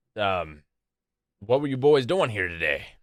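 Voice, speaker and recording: In a put-on character voice, a man talks at a moderate pace and a medium pitch on a very clean recording with a silent background. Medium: actual play. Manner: blunt, gruff.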